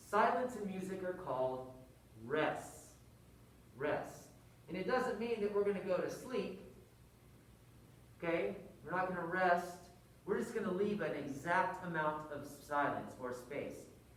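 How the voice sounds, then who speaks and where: Speech comes at a fairly slow pace, broken by long, frequent pauses, over noticeable background noise. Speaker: music teacher. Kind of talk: tutorial. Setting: wearing a mask. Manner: rhythmic counting aloud.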